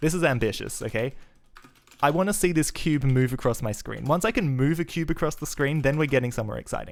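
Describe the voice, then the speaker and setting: Very fast, animated speech from a man at a fairly high pitch, with ordinary pitch variation. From Australia, Adelaide. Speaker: programmer and streamer. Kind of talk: live coding stream.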